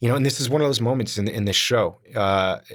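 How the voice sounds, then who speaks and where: Medium-pitched man at a fairly quick pace, very clean recording, silent background. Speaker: actor and podcast co-host. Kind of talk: casual chat. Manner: loud; animated.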